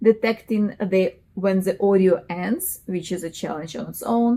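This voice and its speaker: The speaker has a strong non-native accent and a dark, mellow tone. The pace is fairly slow. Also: woman. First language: not English. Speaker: software engineer, tech youtuber. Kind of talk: tutorial. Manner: halting, many fillers.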